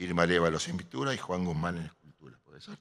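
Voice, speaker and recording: The man's voice is very deep and low. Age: 80s+. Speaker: architect and artist presenting an exhibition. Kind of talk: speech at an exhibition opening. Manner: halting, with repeated fillers.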